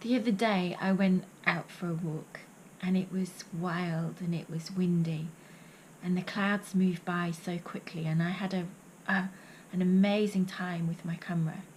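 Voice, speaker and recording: At a moderate pace, a woman speaks with medium pitch, a somewhat breathy quality and monotone, flat intonation. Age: 50s. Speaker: poet and vlogger. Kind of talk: reading aloud; vlog monologue.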